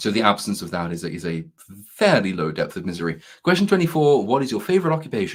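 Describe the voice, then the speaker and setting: A man with a fairly low pitch talks at a very fast pace, his pitch swinging very widely. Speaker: YouTube commentator. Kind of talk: casual chat. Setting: in person, both speakers sharing one microphone. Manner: hesitant, many fillers and restarts.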